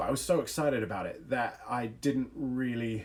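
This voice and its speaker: A man speaks in an animated tone with medium pitch. His intonation is lively. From England, small village; moved to US as child. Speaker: youth speaker. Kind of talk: livestream talk with storytelling. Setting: online livestream.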